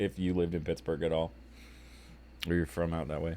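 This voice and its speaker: A man's very fast speech in an American accent, with a dark, mellow tone. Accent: relatively flat. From DC metro area (Southern Maryland). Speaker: streamer. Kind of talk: casual chat.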